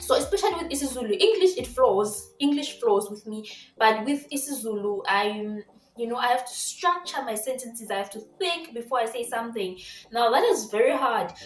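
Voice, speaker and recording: With noticeable background noise behind her, a woman speaks in a Zimbabwean accent at a high pitch and fairly quick pace, her intonation lively and her loudness swinging widely. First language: Shona. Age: 20s. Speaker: vlogger. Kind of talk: casual vlog talk. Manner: animated.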